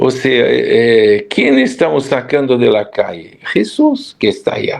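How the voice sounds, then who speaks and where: A man with a Brazilian accent speaks at a very slow pace over noticeable background noise. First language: Portuguese (speaking Spanish). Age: 70s. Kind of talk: interview.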